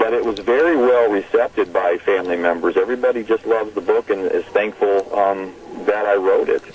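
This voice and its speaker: Over noticeable background noise, a man with an American accent speaks with very even loudness. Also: fairly quick pace. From Arizona (Tempe). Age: 60s. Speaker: author. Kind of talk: radio phone interview. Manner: halting, many fillers and repeats.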